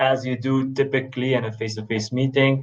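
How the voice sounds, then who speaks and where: Someone speaks at a fairly quick pace with a Belgian accent. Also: man. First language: not English. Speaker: management researcher. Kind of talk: panel discussion. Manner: halting, many fillers.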